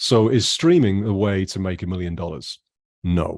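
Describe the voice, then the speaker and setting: A man speaks with a British accent at a fairly low pitch. His intonation is lively, and the background is quiet. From UK. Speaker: jazz musician. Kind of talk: interview. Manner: animated.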